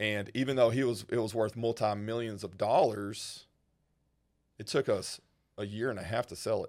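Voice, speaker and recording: A man with a Texas accent talks at a moderate pace and a medium pitch, with fairly even intonation. Long, frequent pauses and big swings in loudness come through in a very clean recording with a silent background. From rural North Texas. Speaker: wealth manager. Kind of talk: casual interview.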